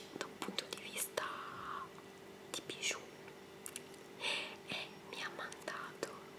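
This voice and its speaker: A woman speaks at a very slow pace against loud background noise. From Italy. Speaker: ASMR creator. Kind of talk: casual talk to camera, show and tell. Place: home room. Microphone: webcam.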